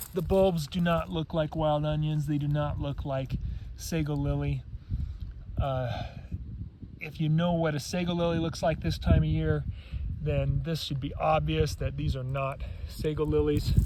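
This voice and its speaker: A man speaks at a moderate pace with long, frequent pauses. Audible room echo and noticeable background noise fill the recording. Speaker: foraging guide. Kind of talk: outdoor nature tutorial. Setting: outdoors.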